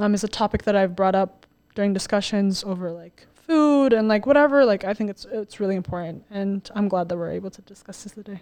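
A woman with an American accent, medium pitch, a very fast pace, ordinary pitch variation and big swings in loudness, over a quiet background. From Colorado, US. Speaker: podcast guest. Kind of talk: casual chat.

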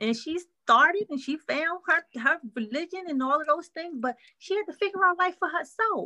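Her raised, projected voice has a bright, sharp tone, recorded with a dry, close sound and no echo. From Philadelphia, North Philly. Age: 40s. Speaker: counselor. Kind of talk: casual interview.

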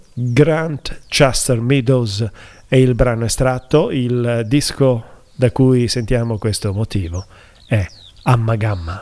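Very slow delivery broken by long, frequent pauses, with ordinary pitch variation. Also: man, medium pitch for a man. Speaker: radio host. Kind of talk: radio show presenting between songs, casual. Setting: radio studio. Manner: casual, hesitant, fillers like eh and mh.

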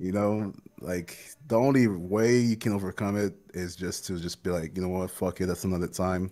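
At a moderate pace, a man with a very deep, low voice and a dark, mellow tone speaks with fairly even intonation. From Haiti. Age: 20s. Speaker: content creator and streamer. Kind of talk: casual interview chat.

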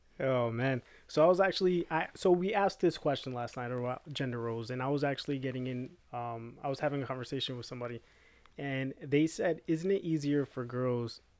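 A man with an unremarkable speaking voice talks fairly quickly. His pitch is medium, with ordinary variation. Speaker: podcast co-host. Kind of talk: casual chat.

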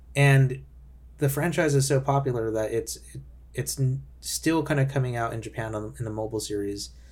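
A man speaks at a moderate pace in a somewhat breathy voice with lively intonation. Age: 20s. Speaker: game designer and podcast host. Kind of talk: solo podcast monologue. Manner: casual with frequent fillers.

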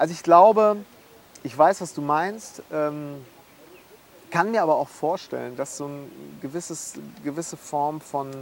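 Amid noticeable background noise, a man talks at a fairly slow pace with a fairly high voice and ordinary pitch variation. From Münster area, Westphalia, partly Schleswig-Holstein. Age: 30s. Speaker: musician. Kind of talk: casual chat. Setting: outdoors.

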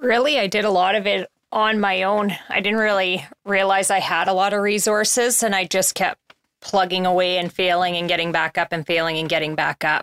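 A woman with a plain, everyday voice speaks at a medium pitch with fairly even intonation, and the sound is dry and close with no echo. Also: moderate pace, very even loudness. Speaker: person in recovery. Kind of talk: casual chat.

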